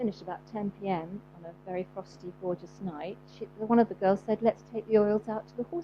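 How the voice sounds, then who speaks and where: A woman with a southern English accent talks at a fairly quick pace with hardly any pauses, using a medium pitch and ordinary pitch variation. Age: 60s. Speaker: homeopath and animal therapist. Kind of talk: talk to a live audience. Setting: event with audience. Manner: hesitant, many fillers.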